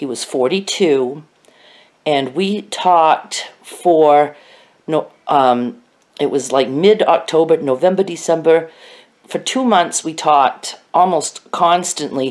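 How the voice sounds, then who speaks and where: A woman's fairly low voice at a very slow pace, lively in intonation, over a quiet background. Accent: American. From Maine, US. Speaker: vlogger. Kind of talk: casual vlog monologue. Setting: at home in bed, self-recorded. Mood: warm, nostalgic. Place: home room. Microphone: phone near.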